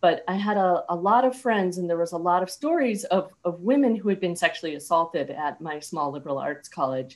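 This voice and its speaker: Speaking at a fairly quick pace with hardly any pauses, a woman uses a fairly low pitch and lively intonation. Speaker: speaker. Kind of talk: reflective casual talk. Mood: earnest, reflective. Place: home room. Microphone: webcam.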